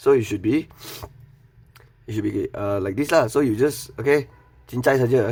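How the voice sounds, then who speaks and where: Speaking with a Malaysian accent, a man uses a medium pitch and ordinary pitch variation. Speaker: maths tutor. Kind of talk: online maths tutorial. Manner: casual, fast.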